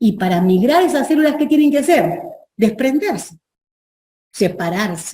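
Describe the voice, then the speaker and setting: Fairly high-pitched woman's voice, somewhat breathy with a dark, mellow tone and very wide pitch swings, in audible room echo. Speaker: professor. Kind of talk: lecture.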